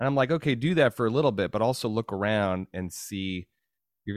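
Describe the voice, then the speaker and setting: Using a normal speaking voice, a man with fairly low pitch talks at a fairly quick pace with lively intonation. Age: 40s. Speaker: podcast host and physician. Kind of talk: interview conversation.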